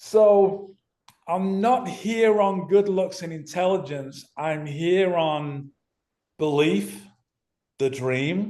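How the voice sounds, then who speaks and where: A man's high-pitched voice in a Manchester accent, with a dark, mellow tone, ordinary pitch variation, a very slow pace and long, frequent pauses. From northern England (Manchester). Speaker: ex-professional footballer and podcast guest. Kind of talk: casual interview.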